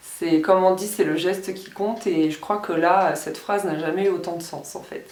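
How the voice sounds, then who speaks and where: Over audible room echo, a woman talks at a moderate pace with hardly any pauses, fairly even intonation and big swings in loudness. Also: medium pitch for a woman. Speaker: beauty and lifestyle vlogger. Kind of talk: casual vlog talk to camera. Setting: at home, filming in her room. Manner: louder than usual; soft-spoken.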